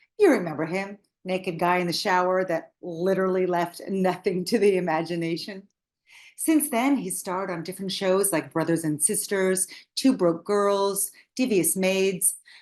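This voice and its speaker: Speaking in a plain, everyday voice at a medium pitch, a woman keeps a moderate pace with ordinary pitch variation against a quiet background. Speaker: podcast host. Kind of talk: podcast intro narration.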